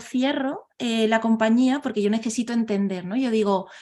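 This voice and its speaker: A woman with a southern Spanish accent speaks at a fairly high pitch and a fairly slow pace. Her intonation is fairly even, in a very clean recording with a silent background. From southern Spain. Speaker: organizational transformation consultant. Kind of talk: interview. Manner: hesitant, many fillers.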